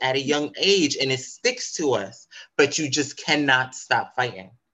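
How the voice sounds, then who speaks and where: Speaking at a moderate pace, a man uses a normal speaking voice with lively intonation. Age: 30s. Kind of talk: interview.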